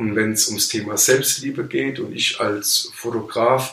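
The man speaks at a fairly slow pace with medium pitch and fairly even intonation. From Palatinate, Germany. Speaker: photographer. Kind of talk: casual interview. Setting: studio, in person.

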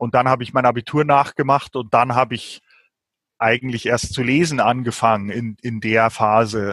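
Recorded very cleanly against a silent background, with a dry, close sound and no echo, a man speaks at a moderate pace and medium pitch with fairly even intonation. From rural Germany, village farming milieu. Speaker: novelist and translator. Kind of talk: interview conversation. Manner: hesitant, many fillers.

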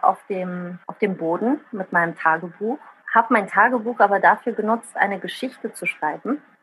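A woman with an Italian accent speaks at a moderate pace and a fairly high pitch with ordinary pitch variation, against noticeable background noise. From Rhineland, Germany and Italy. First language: Italian (speaking German). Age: 30s. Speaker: social media user and writer. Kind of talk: casual interview.

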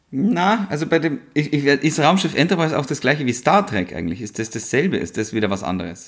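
Talking at a fairly quick pace with hardly any pauses, a man uses a fairly high pitch with vocal fry and very wide pitch swings. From rural Upper Bavaria. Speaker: podcast co-host. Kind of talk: casual chat.

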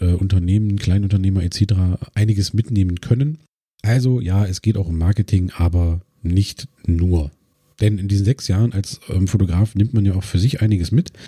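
Fairly low-pitched male voice with a dark, mellow tone and some breathiness, ordinary pitch variation and a moderate pace, in a dry, close sound with no echo. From Brandenburg, eastern Germany (Cottbus). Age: 30s. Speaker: podcast host and photographer. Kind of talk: solo podcast monologue.

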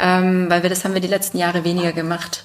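A woman speaks at a very fast pace with a medium pitch and monotone, flat intonation. Noticeable background noise sits behind her. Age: 30s. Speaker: family business successor and business association official. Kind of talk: interview. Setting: on site at the family company.

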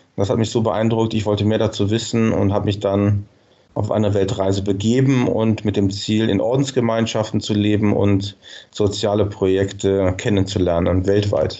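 A man speaks in a fairly low, monotone voice at a moderate pace, his loudness very even throughout. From Germany, Cologne. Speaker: nonprofit marketing director. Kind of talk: interview.

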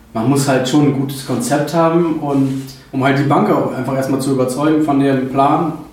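A man's medium-pitched, monotone, flat voice at a moderate pace, with audible room echo and noticeable background noise. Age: 20s. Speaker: trucking business owner. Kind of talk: interview.

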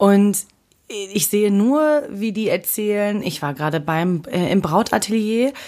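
Using a plain, everyday voice, this woman delivers her words at a fairly slow pace. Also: medium pitch for a woman, lively intonation. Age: 20s. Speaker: podcast co-host. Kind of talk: casual chat.

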